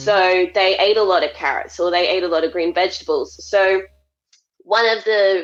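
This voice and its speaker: A woman at medium pitch and moderate pace, in an ordinary speaking voice. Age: 20s. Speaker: dietitian. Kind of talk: interview answer.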